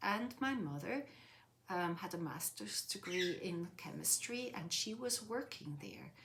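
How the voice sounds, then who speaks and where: A woman in a Swiss accent, medium in pitch, fairly slow, with lively intonation. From Switzerland, Zurich lake area (Swiss German). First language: Swiss German (bilingual with English). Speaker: interviewee. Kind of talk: interview, life story. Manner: hesitant, frequent fillers.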